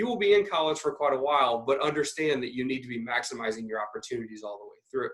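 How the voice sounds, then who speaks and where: Speaking with lively intonation, a man's voice sits fairly high. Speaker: university student success staff, webinar presenter. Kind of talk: webinar presentation. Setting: video call webinar. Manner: fast; many filler ums.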